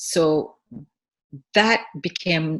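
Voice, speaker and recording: Vocal fry runs through this woman's speech. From Senegal (Dakar). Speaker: food entrepreneur. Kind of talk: interview conversation. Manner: halting, many repetitions.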